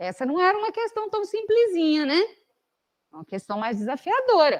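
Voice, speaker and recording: Heard dry and close with no echo, a woman speaks with very wide swings in pitch. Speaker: math teacher. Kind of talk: lecture.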